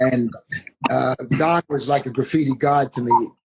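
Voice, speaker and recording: Somewhat breathy and fairly high in pitch, a man with a New York accent is heard in a dry, close sound with no echo. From New York, Queens. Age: 50s. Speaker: graffiti artist. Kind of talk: interview.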